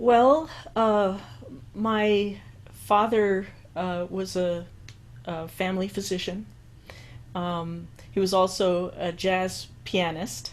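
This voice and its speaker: In an American accent, a woman speaks at a medium pitch with ordinary pitch variation, leaving long, frequent pauses as room echo is audible. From New York, the Bronx. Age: 60s. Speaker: musician and composer. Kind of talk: interview. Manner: halting.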